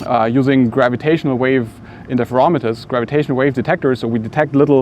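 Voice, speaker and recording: Noticeable background noise behind a man's fairly even intonation. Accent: German. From Germany. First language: German. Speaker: physics professor. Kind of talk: interview monologue. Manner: halting, many fillers.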